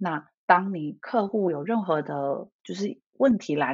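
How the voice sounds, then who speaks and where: A woman with a fairly low pitch and vocal fry speaks with lively intonation. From Taiwan. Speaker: leadership coach. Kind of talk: interview.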